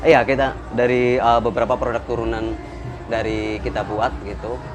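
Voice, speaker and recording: Noticeable background noise and a moderate pace. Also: man. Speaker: tapis craftsman. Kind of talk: casual interview. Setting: fair booth.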